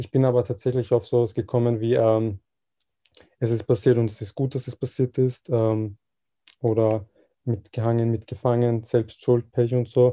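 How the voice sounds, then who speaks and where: A man with a dark, mellow tone speaks at medium pitch and a moderate pace in a monotone, flat intonation, leaving long, frequent pauses, with a dry, close sound and no echo. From Austria, Vienna. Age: 20s. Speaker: volunteer. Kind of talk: interview.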